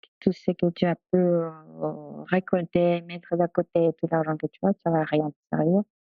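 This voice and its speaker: Her intonation is monotone and flat. The woman talks at a moderate pace in a fairly low pitch. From Peru. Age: 40s. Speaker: doula. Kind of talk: interview. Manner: halting.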